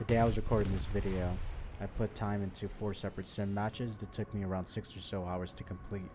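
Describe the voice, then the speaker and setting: Quiet speech at a very fast pace. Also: man. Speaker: gaming video creator and veteran. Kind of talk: gameplay commentary. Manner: quiet, low volume.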